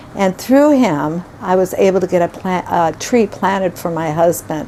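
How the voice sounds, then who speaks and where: Over noticeable background noise, a woman with a fairly low voice speaks at a fairly slow pace. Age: 70s. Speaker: retirement home resident. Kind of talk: personal testimony. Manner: halting, many fillers.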